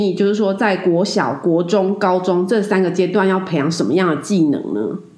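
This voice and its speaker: A woman at a medium pitch, with noticeable background noise and audible room echo. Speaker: podcast host. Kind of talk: casual chat.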